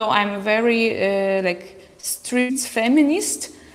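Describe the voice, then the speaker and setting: A woman's fairly high voice at a very slow pace, with ordinary pitch variation and music in the background. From Belarus. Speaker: artist and activist, former opera singer. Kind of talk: panel discussion. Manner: hesitant.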